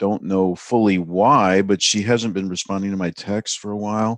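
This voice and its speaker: Moderate pace and fairly even intonation, with a dry, close sound and no echo. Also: man, quiet background. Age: 60s. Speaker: podcast guest. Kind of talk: casual chat.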